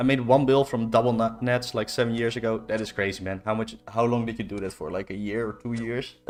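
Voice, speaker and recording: A man speaks very fast in a Dutch accent, at a medium pitch, with fairly even intonation and hardly any pauses. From Netherlands. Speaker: video game livestreamer. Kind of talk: casual livestream chat. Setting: live stream with music and chat.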